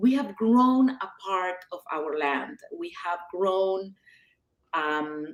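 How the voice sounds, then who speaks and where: Speaking very slowly with an Argentine accent, a woman at medium pitch moves through very wide pitch swings. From Argentina. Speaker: author. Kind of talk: casual chat.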